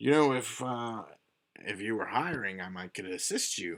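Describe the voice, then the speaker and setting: Using a put-on character voice, a man speaks at a moderate pace in a medium pitch. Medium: actual play. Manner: easygoing, folksy.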